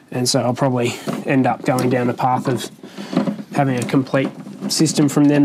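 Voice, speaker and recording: Noticeable noise sits behind speech that runs at a fairly quick pace. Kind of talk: tutorial. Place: garage. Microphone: lapel.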